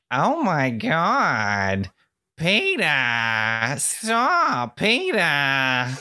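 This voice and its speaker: A put-on character voice, low-to-middle in pitch, at a very slow pace. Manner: exasperated.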